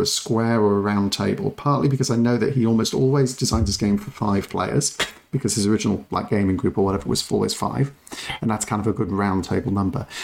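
A man with an English accent speaks at a very fast pace and medium pitch, with ordinary pitch variation. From England. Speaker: board game podcast co-host. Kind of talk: casual chat.

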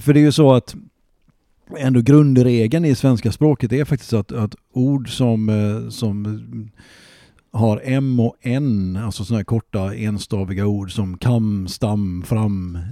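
Dark and mellow in tone, a man at a medium pitch speaks very slowly with ordinary pitch variation, recorded dry and close with no echo against a very clean, silent background. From Gothenburg, Hisingen. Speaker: local historian and author. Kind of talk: casual chat. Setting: home living room.

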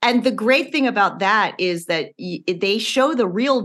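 Speaking at a fairly slow pace with lively intonation, a woman has an unremarkable speaking voice. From US Midwest, Illinois. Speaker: former TV writer and author. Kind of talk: casual interview chat.

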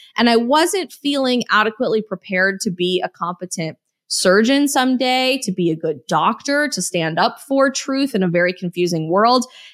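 Recorded very cleanly with a silent background and a dry, close sound without echo, a woman with an American accent and a fairly high pitch talks at a moderate pace with very wide pitch swings and hardly any pauses. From Colorado. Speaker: political influencer and author. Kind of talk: casual chat.

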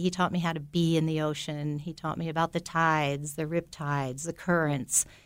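At a moderate pace, a woman with an unremarkable speaking voice talks at a fairly low pitch with fairly even intonation, on a very clean recording with a silent background. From US Northeast (Belleville, New Jersey). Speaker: tree planter and safari leader. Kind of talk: interview. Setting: studio.

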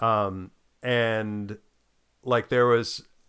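The voice belongs to a man with an American accent. It is pitched in the medium range. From United States. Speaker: podcast co-host. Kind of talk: casual chat. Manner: halting, many restarts and fillers.

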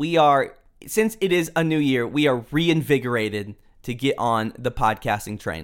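A normal speaking voice from a man with an American accent, medium pitch, lively intonation and a moderate pace. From Houston, Texas. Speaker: podcast host. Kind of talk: casual chat.

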